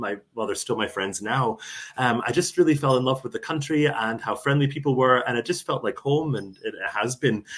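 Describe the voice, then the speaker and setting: A somewhat breathy man talks at a moderate pace and a medium pitch, with ordinary pitch variation. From US, Arizona (born in Buffalo). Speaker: travel organization director, former teacher. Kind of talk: casual interview chat.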